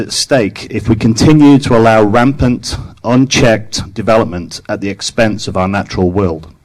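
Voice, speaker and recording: This man speaks with an English accent. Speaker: public commenter at county council meeting. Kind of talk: public testimony speech. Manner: formal.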